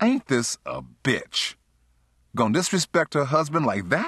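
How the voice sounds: In a put-on character voice, a man with a fairly high pitch, very wide pitch swings, a fairly bright tone and a slightly husky edge speaks at a fairly slow pace in a very clean recording with a silent background.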